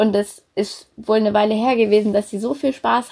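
This woman has a dark, mellow tone and a medium pitch. She talks at a moderate pace with fairly even intonation. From Germany, Berlin. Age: 20s. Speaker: student volunteer. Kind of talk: casual interview. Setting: video call from home.

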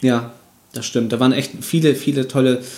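A man talks at a moderate pace and medium pitch. His is a normal speaking voice. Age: 30s. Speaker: video game podcast host. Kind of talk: casual chat.

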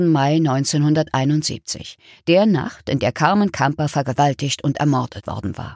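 A woman's very deep, low voice with ordinary pitch variation, a serious tone and a very slow pace, dry and close with no echo, in a very clean recording with a silent background. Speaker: narrator. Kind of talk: true-crime narration. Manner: measured, serious, storytelling tone.

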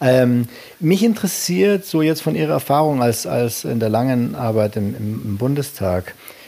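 A man with medium pitch speaks at a fairly slow pace, his pitch swinging very widely. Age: 50s. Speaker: podcast host. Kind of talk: interview. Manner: halting.

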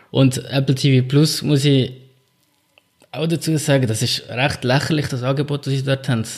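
A man's fairly high, somewhat breathy voice at a moderate pace, with monotone, flat intonation and long, frequent pauses. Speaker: podcast co-host. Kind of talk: casual chat.

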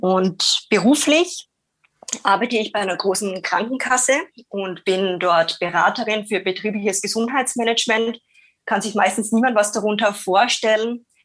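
A woman with an Austrian accent, fairly high pitch, ordinary pitch variation and moderate pace. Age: 30s. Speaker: radio co-host. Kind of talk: casual chat. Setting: video call.

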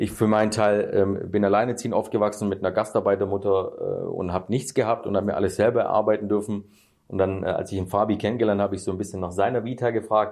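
A man talks at a very fast pace in a fairly low voice. His intonation is monotone and flat. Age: 30s. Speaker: real estate YouTuber. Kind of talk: casual interview.

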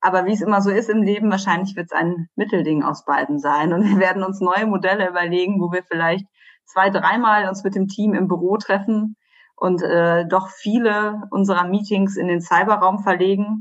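Against a quiet background, a woman speaks. Her pitch is medium and her pace moderate. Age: 30s. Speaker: journalist. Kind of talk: interview. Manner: hesitant, many filler sounds.

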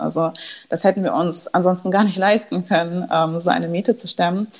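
This woman has a plain, everyday voice. Her pitch sits in the medium range with ordinary pitch variation. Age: 20s. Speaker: startup founder. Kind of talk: interview.

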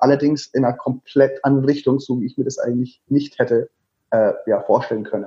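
A man speaks with a Franconian accent at a fairly high pitch. His voice is somewhat breathy. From Lower Franconia, Germany (Würzburg). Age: 30s. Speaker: travel blogger and author. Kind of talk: interview.

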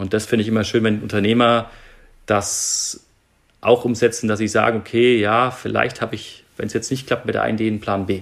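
A man speaks at a medium pitch and a fairly quick pace. His intonation is flat and monotone. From Germany, Nuremberg (Franconia). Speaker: airline pilot and startup investor. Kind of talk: interview.

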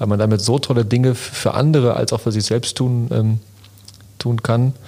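Dark and mellow in tone, a man's medium-pitched voice moves at a moderate pace. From Lünen, Ruhr area, Germany. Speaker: entrepreneur and podcast co-host. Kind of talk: casual chat.

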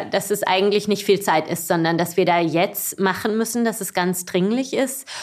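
Using an unremarkable speaking voice, a woman at medium pitch speaks with fairly even intonation. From southwestern Germany, Baden-Baden. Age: 40s. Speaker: cycling association executive. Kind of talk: casual interview. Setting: office.

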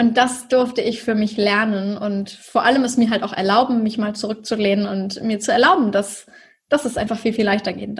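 Somewhat breathy and fairly high-pitched, a woman talks at a moderate pace. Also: fairly even intonation. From northern Germany, near Hamburg (Schleswig-Holstein). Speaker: online business mentor. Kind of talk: interview.

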